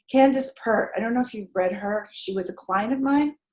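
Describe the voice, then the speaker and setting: A somewhat breathy woman with a fairly high pitch speaks at a moderate pace with lively intonation. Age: 70s. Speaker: energy healer and life coach. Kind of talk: panel discussion. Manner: animated.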